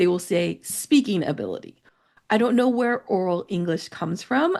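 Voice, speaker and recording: A woman with a General American accent talks at a moderate pace, her tone dark and mellow with vocal fry. The background is quiet. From United States. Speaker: English teacher. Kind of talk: educational podcast talk.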